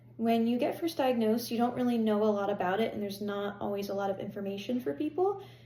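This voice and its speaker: Amid noticeable background noise and audible room echo, a woman with an American accent talks at a very fast pace, with a medium pitch and ordinary pitch variation. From Pennsylvania. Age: 20s. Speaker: health vlogger. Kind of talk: personal vlog monologue. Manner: hesitant, many fillers.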